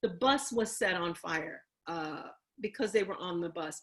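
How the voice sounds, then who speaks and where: Moderate pace and ordinary pitch variation from a female speaker. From Chicago (Bronzeville). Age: 60s. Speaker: panelist on racism. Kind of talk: panel talk, history presentation. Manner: repetitive, emphatic.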